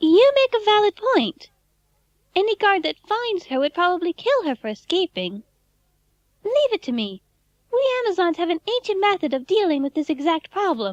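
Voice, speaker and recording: Using a put-on character voice, a female-sounding speaker squeaks at an extremely high pitch with very wide pitch swings and a moderate pace. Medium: audio drama. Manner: calm, polite, matter-of-fact.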